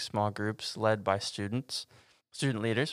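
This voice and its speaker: With an American accent, a man has an ordinary speaking voice at a medium pitch, talking at a moderate pace with fairly even intonation in a very clean recording with a silent background. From Texas. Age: 20s. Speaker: campus pastor. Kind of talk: casual chat.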